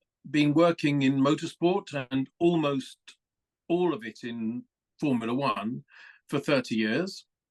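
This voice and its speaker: Dry and close with no echo, the recording catches a man in a southern English accent speaking fairly slowly at a fairly high pitch with ordinary pitch variation. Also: long, frequent pauses. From England (London). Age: 60s. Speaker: motorsport communications executive. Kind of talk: podcast interview. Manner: hesitant fillers, conversational.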